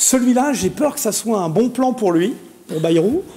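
A man's high-pitched voice at a fairly slow pace, lively in intonation. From Paris suburbs, France; France. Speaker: pharmacy association president and local councillor; talk show panelist. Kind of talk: TV panel debate. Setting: TV studio. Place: studio. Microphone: lapel.

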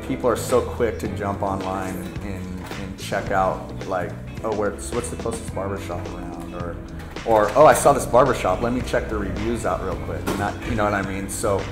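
Over clear background music, a man speaks at a moderate pace with a fairly low pitch. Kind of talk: interview answer. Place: shop.

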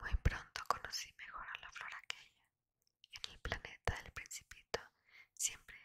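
A fairly slow whisper from a woman. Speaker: ASMR reader. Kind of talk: read story. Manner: whispered. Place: home room. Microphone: studio mic.

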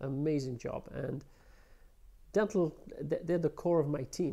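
A man speaks at a fairly high pitch with a dark, mellow tone and ordinary pitch variation against a quiet background. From London, England. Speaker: prosthodontist; interviewee. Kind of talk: interview. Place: office.

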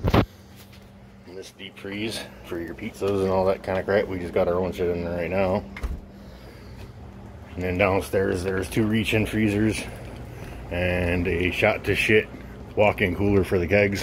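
A man with a very deep, low pitch talks in a monotone, flat way at a fairly slow pace. Long, frequent pauses break up his speech over noticeable background noise. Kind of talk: casual walk-through commentary. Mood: offhand, mildly annoyed. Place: bar. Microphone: phone near.

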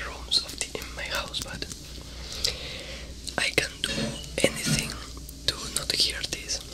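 A soft-spoken man talks at a fairly slow pace. Loud background noise runs behind him. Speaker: ASMR creator. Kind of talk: soft-spoken ASMR intro chat. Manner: soft ASMR voice close to mic. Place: home room. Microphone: studio mic.

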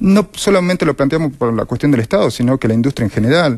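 The intonation is lively, and the background is quiet. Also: man. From Argentina. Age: 40s. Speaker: left-wing political candidate, sanitation worker; candidate. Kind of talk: political interview. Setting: TV studio. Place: studio.

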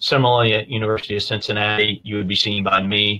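A man talks at a fairly quick pace. His pitch is fairly low. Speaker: guest. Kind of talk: interview answer. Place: office. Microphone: video call.

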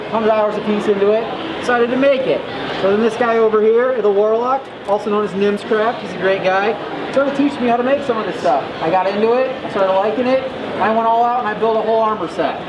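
With noticeable background noise behind her, a woman speaks at a very fast pace. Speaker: interviewee. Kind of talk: interview answer. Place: hall.

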